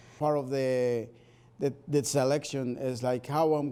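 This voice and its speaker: A man's medium-pitched voice, dark and mellow, with a Spanish accent and a monotone, flat intonation. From Spanish-speaking country, moved to US. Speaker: Spanish teacher. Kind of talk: interview. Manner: hesitant, with fillers.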